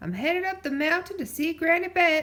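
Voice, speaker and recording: In a put-on character voice, a woman projects loudly at an extremely high pitch. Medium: read story. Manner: folksy, easygoing.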